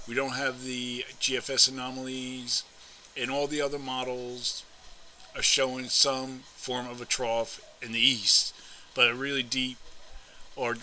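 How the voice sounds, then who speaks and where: A man with medium pitch talks, and noticeable noise sits in the background. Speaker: weather forecaster. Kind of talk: weather report. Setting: screen-share video narration of forecast maps. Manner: formal, measured; halting, with filler words and throat clearing.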